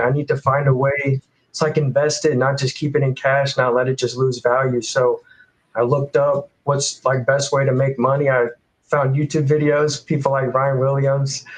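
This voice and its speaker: Fairly quick, somewhat breathy speech from a man with a fairly high pitch. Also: very even loudness. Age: 20s. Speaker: college student and dividend investor. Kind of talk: casual chat.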